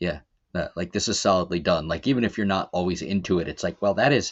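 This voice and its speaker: The man's fairly low voice shows ordinary pitch variation. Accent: American. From Baltimore, Maryland. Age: 40s. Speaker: musician and songwriter. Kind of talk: casual chat.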